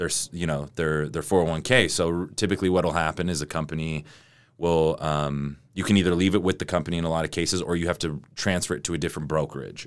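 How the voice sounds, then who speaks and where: A man's very deep, low voice at a very fast pace, fairly even in intonation, on a very clean recording with a silent background. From Utah, Salt Lake area. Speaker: financial entrepreneur. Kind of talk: casual interview.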